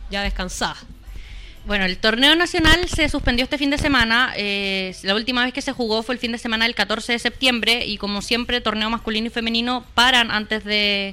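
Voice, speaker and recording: A woman with an unremarkable speaking voice talks at a fairly quick pace, her fairly high pitch varying in an ordinary way. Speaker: sports radio host. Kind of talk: casual chat.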